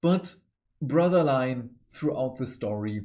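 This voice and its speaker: Speaking with a non-native accent, a man has a dark, mellow tone. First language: not English. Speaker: book reviewer, hobby channel host. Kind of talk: book review monologue. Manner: animated.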